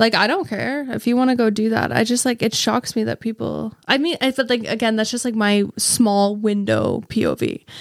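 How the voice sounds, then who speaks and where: A woman with an ordinary speaking voice talks at a moderate pace with hardly any pauses. Her pitch is fairly high and her intonation fairly even. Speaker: podcast co-host. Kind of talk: casual chat.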